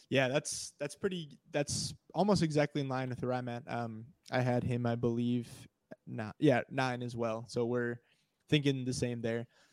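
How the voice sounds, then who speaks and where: Recorded dry and close with no echo, a man speaks at a moderate pace in a medium pitch with fairly even intonation. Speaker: fantasy football analyst. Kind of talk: casual chat.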